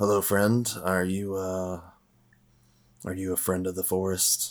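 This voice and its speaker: A gravelly, put-on character voice. It moves at a fairly slow pace. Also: man, very deep, low pitch for a man. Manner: friendly, calling out.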